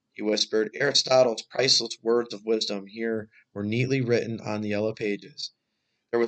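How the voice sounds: Over a quiet background comes a natural reading voice with fairly even intonation.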